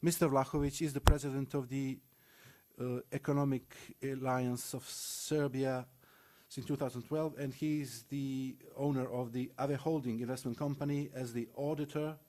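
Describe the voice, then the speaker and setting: In a Macedonian accent, the speaker talks at a moderate pace with monotone, flat intonation and a dark, mellow tone, captured in a very clean recording over a silent background. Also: man, fairly high pitch for a man. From North Macedonia. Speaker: panel moderator. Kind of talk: conference panel introduction. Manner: formal.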